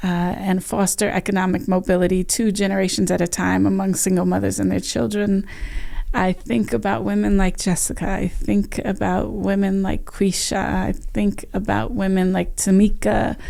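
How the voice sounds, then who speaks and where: The woman's loudness stays very even as she talks at a moderate pace. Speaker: nonprofit executive director. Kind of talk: interview conversation.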